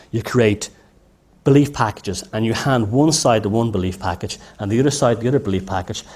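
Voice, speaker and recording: Speaking with an Irish accent, a man moves at a fairly quick pace with ordinary pitch variation. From Ireland. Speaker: lecturer. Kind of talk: lecture. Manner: halting, many false starts.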